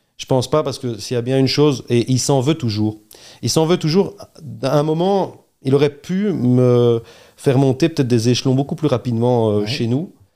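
On a very clean recording with a silent background, a man with an ordinary speaking voice talks at a moderate pace. His pitch is medium, with ordinary pitch variation. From Belgium, Charleroi region. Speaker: entrepreneur, restaurant chain co-founder. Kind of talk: interview conversation.

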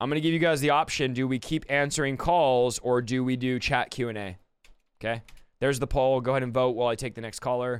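Medium-pitched man's voice at a very fast pace with fairly even intonation. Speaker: revival preacher and podcast host. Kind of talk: call-in livestream Q&A and prayer. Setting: livestream from home office with video call. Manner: fast talker; loud.

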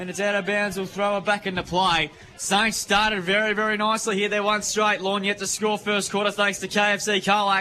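In a raised, projected voice at a high pitch, a man with an Australian accent speaks at a fairly quick pace with monotone, flat intonation and hardly any pauses. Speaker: football commentator. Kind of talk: live commentary. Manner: fast.

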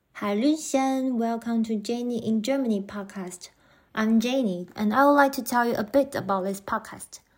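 On a very clean recording with a silent background, a woman with a Taiwanese accent speaks at a moderate pace in a fairly high pitch with ordinary pitch variation. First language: Mandarin Chinese. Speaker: podcast host. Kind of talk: scripted podcast introduction.

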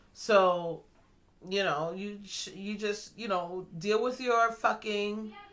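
Noticeable background noise accompanies a woman speaking at a medium pitch. She talks very slowly, with ordinary pitch variation. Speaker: podcast host. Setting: home recording, kids in background.

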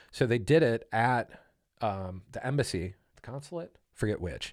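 Recorded very cleanly against a silent background, a man speaks at a moderate pace, his medium pitch making very wide swings. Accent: Midwestern American. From Ohio, Canton. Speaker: podcast guest. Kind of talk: casual chat.

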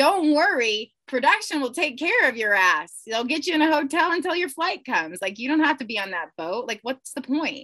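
At a moderate pace and with hardly any pauses, a woman projects a raised, high-pitched voice of bright, sharp tone, swinging very widely in pitch. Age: 30s. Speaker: yacht crew member and reality TV cast member. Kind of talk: casual chat.

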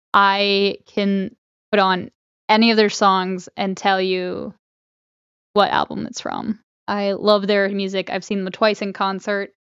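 In a monotone, flat intonation, the words come at a fairly slow pace. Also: woman, medium pitch for a woman. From Connecticut, moved south around age seven. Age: 20s. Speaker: podcast co-host and cosplayer. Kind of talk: casual chat.

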